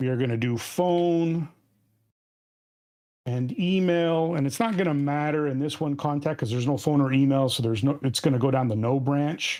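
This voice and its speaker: Over a quiet background, a man talks at a moderate pace. His tone is dark and mellow, with ordinary pitch variation. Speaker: software trainer. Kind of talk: tutorial. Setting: screen-share recording. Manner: casual, halting with self-corrections. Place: home room. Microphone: webcam.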